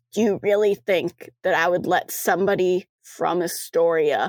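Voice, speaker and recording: A woman does a put-on character voice, raspy and angry with an intense tone, at medium pitch with ordinary pitch variation. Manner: angry, intense, pleading.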